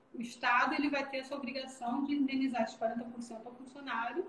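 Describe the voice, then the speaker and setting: A woman talks at a very fast pace in a high voice. Noticeable background noise and audible room echo fill the recording. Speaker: business executive in accounting and labor law. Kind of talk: live stream Q&A, explanatory. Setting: video call live stream. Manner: animated.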